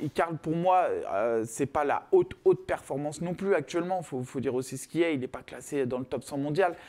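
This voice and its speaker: With a plain, everyday voice, a man talks at a fairly quick pace at a fairly high pitch with ordinary pitch variation. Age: 30s. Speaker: MMA fighter; guest. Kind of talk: casual chat. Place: studio.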